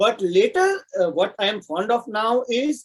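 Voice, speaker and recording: In a Marathi accent, a man speaks at an extremely high pitch with very wide pitch swings. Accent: Indian English, Marathi. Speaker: software architect and poet. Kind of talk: interview.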